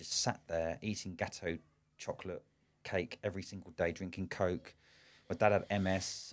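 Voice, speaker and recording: A man with a southern English accent, very deep and low in pitch, at a fairly quick pace with fairly even intonation, on a very clean recording with a silent background. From England, Slough. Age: 40s. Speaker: business owner and coach. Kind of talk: podcast interview. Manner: halting, frequent repetitions.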